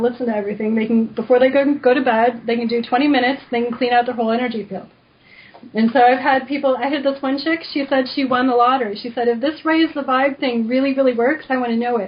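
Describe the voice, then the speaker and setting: Against noticeable background noise, a woman talks at a very fast pace in a high pitch with fairly even intonation. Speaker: energy healer, author. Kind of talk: radio interview. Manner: casual, filler-heavy.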